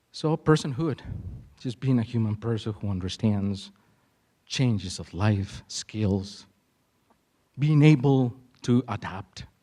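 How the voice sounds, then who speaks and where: A man's dark, mellow tone at medium pitch, ordinary pitch variation, very slow pace, and long, frequent pauses. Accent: Spanish. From Mexico. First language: Spanish. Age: 40s. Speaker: conference speaker, school cultural specialist. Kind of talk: conference presentation. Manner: animated.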